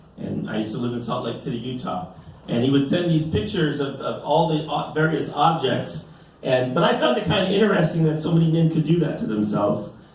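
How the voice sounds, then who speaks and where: A man talks at a very fast pace in a fairly high pitch. Audible room echo and noticeable background noise surround him. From US, Mexican-American family. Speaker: stand-up comedian. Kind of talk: stand-up. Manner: animated, many filler repeats.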